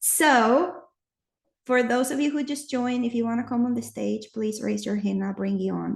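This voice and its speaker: A woman with a non-native accent speaks at a moderate pace. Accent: noticeable non-native. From Nicaragua. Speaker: audio chat host. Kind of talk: casual chat. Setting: live online audio room.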